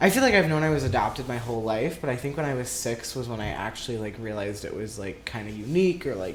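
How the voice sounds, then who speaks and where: Audible room echo colors a man's medium-pitched voice with an American accent. He speaks at a fairly quick pace with ordinary pitch variation. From US Midwest, southern Minnesota. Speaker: interviewee. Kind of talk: casual interview.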